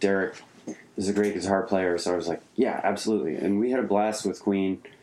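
Male voice, fairly low in pitch, with fairly even intonation at a moderate pace over noticeable background noise. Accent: American. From suburban Pennsylvania near Philadelphia. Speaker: touring guitarist. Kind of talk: casual interview chat. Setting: home studio in apartment.

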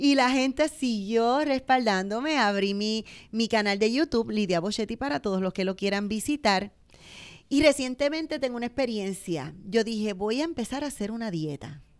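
A woman with an ordinary speaking voice, fairly high pitch, lively intonation and a moderate pace, on a very clean recording with a silent background. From Puerto Rico, Bayamón. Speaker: business owner. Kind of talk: interview.

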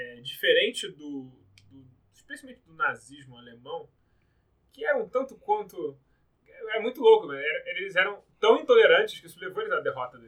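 A man speaks at a moderate pace with long, frequent pauses. His loudness rises and falls sharply. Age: 30s. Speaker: podcast host. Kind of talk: casual chat.

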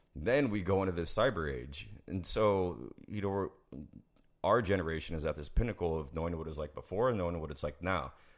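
A man with a very deep, low pitch and vocal fry, in an American accent, with lively intonation at a fairly quick pace. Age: 30s. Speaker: military sniper veteran. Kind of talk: casual chat.

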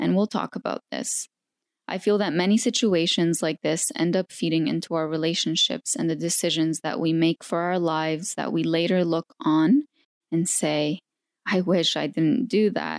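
An unremarkable speaking voice moves at a moderate pace with ordinary pitch variation, captured on a very clean recording with a silent background and a dry, close sound with no echo. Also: woman, fairly low pitch for a woman. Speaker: podcast host and interviewer. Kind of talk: interview.

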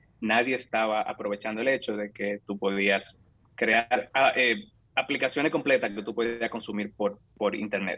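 Fairly even in intonation, a plain, everyday voice speaks at a moderate pace. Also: man, medium pitch for a man. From Dominican Republic, San Francisco de Macorís. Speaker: software engineer. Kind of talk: interview conversation.

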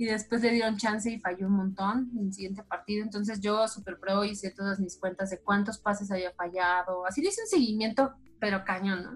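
Her delivery is fairly quick with hardly any pauses, as this woman speaks at medium pitch with fairly even intonation and a somewhat breathy quality. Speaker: sports journalist. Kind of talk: casual interview.

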